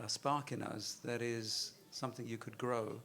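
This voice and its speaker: A man's medium-pitched voice with a British accent. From London, England. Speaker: investment firm chairman, panelist. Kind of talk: panel discussion.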